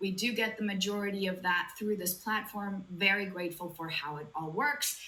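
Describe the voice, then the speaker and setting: Amid noticeable background noise and audible room echo, a woman speaks at a moderate pace with a medium pitch. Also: ordinary pitch variation. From Latin America. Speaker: sobriety coach. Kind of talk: live online talk. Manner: animated.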